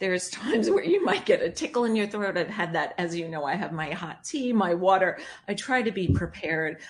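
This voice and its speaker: Fairly quick, lively speech with hardly any pauses from a woman of medium pitch with a New York accent. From Long Island, New York. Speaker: broadcaster. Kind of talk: interview conversation. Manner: animated, excitable.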